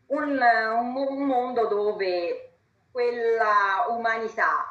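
A woman's fairly high-pitched voice. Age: 50s. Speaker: law professor, vice-rector. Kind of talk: panel talk.

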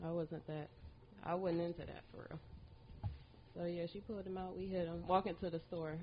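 Somewhat breathy and fairly low in pitch, a woman speaks in a monotone, flat intonation with long, frequent pauses. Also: fairly quick pace. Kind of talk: casual podcast conversation. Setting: podcast recorded in person.

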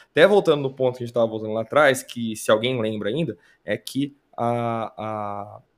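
With an unremarkable speaking voice, the man keeps a medium pitch, ordinary pitch variation and a moderate pace. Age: 30s. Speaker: esports commentator. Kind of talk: casual chat.

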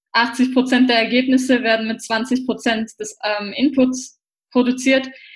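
A woman's high-pitched voice. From Austria, Vienna. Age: 20s. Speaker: personal development trainer. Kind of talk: casual interview.

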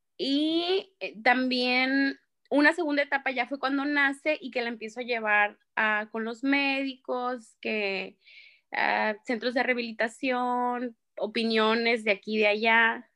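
Speaking at a very slow pace, a woman with a high pitch and a bright, sharp tone uses ordinary pitch variation in a very clean recording with a silent background. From Mexico, Sonora. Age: 20s. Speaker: psychologist. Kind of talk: interview.

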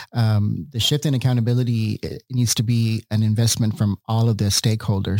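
A man with an unremarkable speaking voice and an American accent talks at a fairly quick pace, his pitch medium and his intonation fairly even. The recording is very clean, with a silent background. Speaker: school board president.

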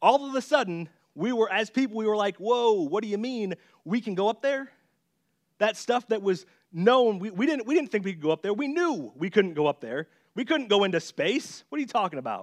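A man with a high pitch talks at a fairly quick pace with lively intonation. The sound is dry and close with no echo against a quiet background. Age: 20s. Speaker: youth pastor. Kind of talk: sermon.

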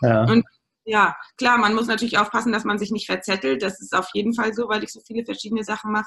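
A woman talks very fast in a fairly high voice with vocal fry, a bright, sharp tone, and ordinary pitch variation. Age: 30s. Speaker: general practitioner and acupuncturist. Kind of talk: interview.

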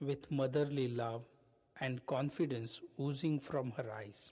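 Somewhat breathy, a man speaks fairly slowly at a fairly high pitch with ordinary pitch variation. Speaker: podcast host, self-help speaker. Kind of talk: scripted narration.

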